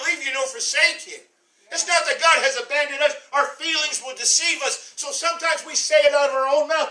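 A man's raised, projected voice at an extremely high pitch, animated in tone and at a fairly quick pace, with audible room echo over a quiet background. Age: 60s. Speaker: pastor. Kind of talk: sermon. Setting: church. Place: church.

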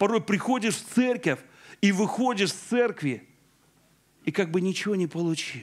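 A man with a high pitch and lively intonation speaks at a moderate pace in a quiet background. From Belarus. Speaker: pastor; preacher. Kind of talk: sermon. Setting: church. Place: church. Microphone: handheld.

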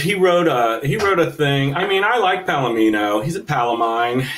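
This man has a fairly high voice and an ordinary speaking voice, with lively intonation and hardly any pauses. He talks at a moderate pace over light background noise. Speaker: comics writer playing a role-playing game. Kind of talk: tabletop role-play. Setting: video call. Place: home room.

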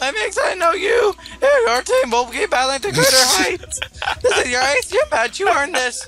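A strained, put-on character voice moves through very wide pitch swings at a moderate pace. Clear music sits in the background. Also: man, extremely high pitch for a man. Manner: strained put-on voice.

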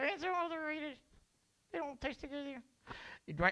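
This is a cartoonish character voice pitched high. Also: moderate pace. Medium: puppet show. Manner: dull, sluggish, stubborn.

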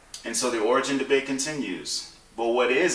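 In a room with audible echo, a man talks very fast with fairly even intonation. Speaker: book reviewer. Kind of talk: educational explainer to camera. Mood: calm, thoughtful. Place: home room.

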